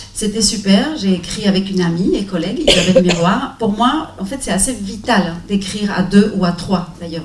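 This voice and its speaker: Speaking with a non-native accent, a woman uses a medium pitch, ordinary pitch variation and a moderate pace, with noticeable background noise and audible room echo. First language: not French (speaking French). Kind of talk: round table discussion.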